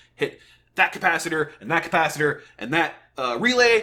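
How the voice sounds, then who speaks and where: The speaker is shouting. The tone is animated. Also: man. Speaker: gaming youtuber reacting to a developer stream. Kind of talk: reaction commentary. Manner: loud, yelling; animated, stammering repeats.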